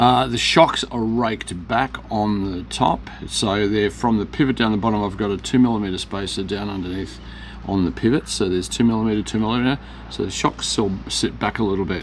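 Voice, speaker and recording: Against noticeable background noise, a man with an Australian accent talks at a fairly quick pace, his fairly low voice carrying lively intonation. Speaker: rc hobby store owner. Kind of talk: tutorial. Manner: fast; casual, halting with fillers.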